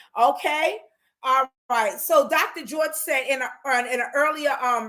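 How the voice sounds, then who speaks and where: In a raised, projected voice, a woman speaks at a high pitch with a bright, sharp tone. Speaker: life counselor, online show host. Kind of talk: solo talk show, advice monologue. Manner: halting, many fillers and restarts.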